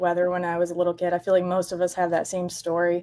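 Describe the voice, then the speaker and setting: A woman with an American accent speaks at medium pitch in a dark, mellow tone. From Michigan, US Midwest. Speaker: storm chaser and meteorology student. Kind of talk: podcast interview.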